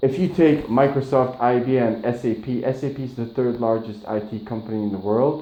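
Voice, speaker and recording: A man at a medium pitch and moderate pace, with audible room echo. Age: 40s. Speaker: patient. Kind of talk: casual chat. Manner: halting.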